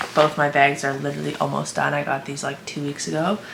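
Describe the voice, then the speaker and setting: A woman speaks with audible room echo. Background noise is noticeable. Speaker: fitness vlogger and online coach. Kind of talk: casual vlog talk. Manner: quiet.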